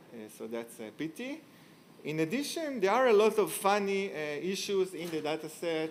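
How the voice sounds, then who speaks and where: With audible room echo, a man talks at a moderate pace with lively intonation. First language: not English. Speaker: tech company founder, conference speaker. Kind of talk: conference talk. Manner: hesitant, many fillers.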